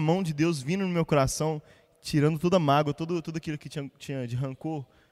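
This man has a plain, everyday voice, pitched fairly high. He talks at a fairly quick pace with fairly even intonation. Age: 20s. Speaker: church musician. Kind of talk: casual chat.

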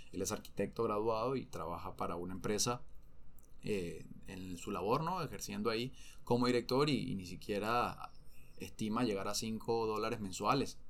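With audible room echo, a man with a Venezuelan accent speaks at a moderate pace in a fairly low pitch with ordinary pitch variation. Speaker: former professional footballer. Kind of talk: interview conversation.

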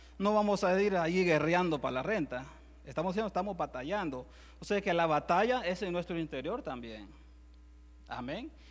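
A man with a Salvadoran accent, high in pitch with ordinary pitch variation, at a moderate pace with long, frequent pauses, on a very clean recording with a silent background. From El Salvador. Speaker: preacher. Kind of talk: sermon. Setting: church.

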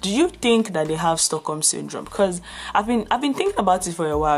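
Over noticeable background noise, a woman with a medium pitch speaks with lively intonation and a passionate tone. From Nigeria. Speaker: podcast host. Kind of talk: solo commentary monologue.

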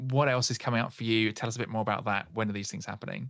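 A man with a bright, sharp tone is heard on a very clean recording with a silent background. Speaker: podcast host. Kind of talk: casual chat.

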